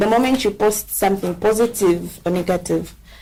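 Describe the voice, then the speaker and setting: With noticeable background noise, a woman talks at a fairly slow pace. Her pitch is medium, with ordinary variation. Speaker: social media advocate. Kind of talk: podcast discussion. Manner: loud.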